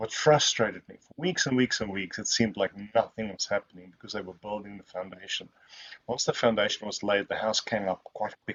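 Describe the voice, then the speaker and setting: A man with a South African accent talks at a fairly quick pace in a fairly low pitch. His loudness swings widely, while his pitch varies in an ordinary way. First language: Afrikaans. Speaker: software testing expert. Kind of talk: Q&A at online webinar.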